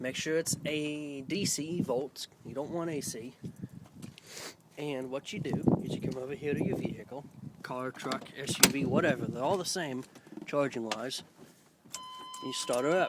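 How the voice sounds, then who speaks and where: The speech moves at a moderate pace with ordinary pitch variation. Long, frequent pauses break it up, and there is noticeable background noise. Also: man, fairly high pitch for a man. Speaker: DIY car tutorial vlogger. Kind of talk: tutorial. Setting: outdoors. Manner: halting; casual, conversational.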